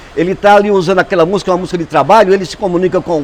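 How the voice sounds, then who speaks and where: A man at a very fast pace, fairly even in intonation, with noticeable background noise. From Brazilian Northeast, rural Tauá (Ceará) with Paraíba family. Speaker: musician and composer. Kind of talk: documentary interview. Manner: hesitant, with filler words.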